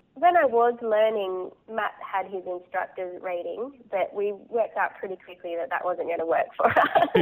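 Using very wide pitch swings, a woman with an Australian accent speaks at a moderate pace and medium pitch. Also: hardly any pauses. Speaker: hot air balloon pilot. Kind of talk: interview.

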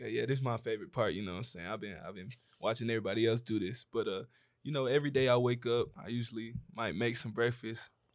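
Talking at a very fast pace, a man with a Southern US accent uses a medium pitch and ordinary pitch variation. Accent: US South. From Atlanta, Georgia. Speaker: content creator. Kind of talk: panel discussion.

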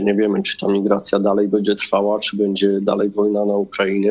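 This man talks at a fairly quick clip with a fairly low pitch. Noticeable background noise runs behind him. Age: 30s. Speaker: politician. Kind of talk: political interview.

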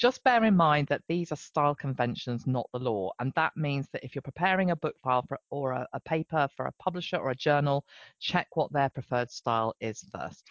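With an English accent, the speaker talks at a fairly quick pace with hardly any pauses. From England. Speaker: fiction editor, podcast co-host. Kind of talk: casual educational chat.

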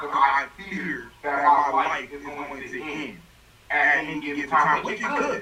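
Noticeable background noise surrounds a man speaking at a fairly slow pace. His pitch is fairly high, and his loudness swings widely. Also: ordinary pitch variation. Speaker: podcast co-host. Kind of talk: casual chat. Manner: animated.

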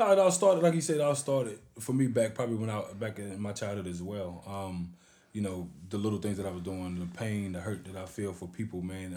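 A man's dark, mellow voice, fairly low in pitch with ordinary variation, at a fairly quick pace, with audible room echo. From Oklahoma (Hugo). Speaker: youth motivational speaker. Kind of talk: interview.

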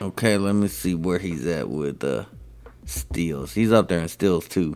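Background music beneath a man's very deep, low voice. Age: 40s. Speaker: sports podcast co-host. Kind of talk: casual chat.

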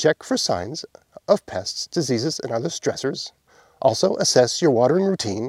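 The reading voice sounds natural. Behind it, all is quiet.

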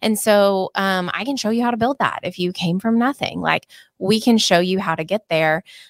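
A woman with an American accent speaks at a moderate pace and medium pitch in a plain, everyday voice, with ordinary pitch variation. The recording is very clean with a silent background and a dry, close sound with no echo. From Oklahoma. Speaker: real estate team owner and broker. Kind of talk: podcast interview.

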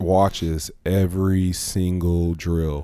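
In a very clean recording with a silent background, a man speaks in a very deep, low voice, dark and mellow in tone, with monotone, flat intonation. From Louisiana. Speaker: retired pro football player. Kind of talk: casual chat.

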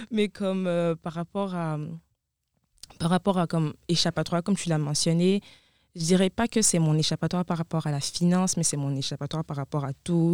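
With an unremarkable speaking voice and a fairly low pitch, a woman talks at a moderate pace and fairly even intonation in a very clean recording with a silent background and a dry, close sound with no echo. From Ivory Coast. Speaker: student dancer. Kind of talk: interview.

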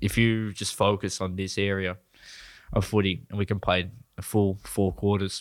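In an Australian accent, a man talks at a fairly low pitch and a moderate pace with monotone, flat intonation. The recording is very clean, with a silent background. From New South Wales, Australia. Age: 20s. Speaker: stand-up comedian. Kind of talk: casual chat.

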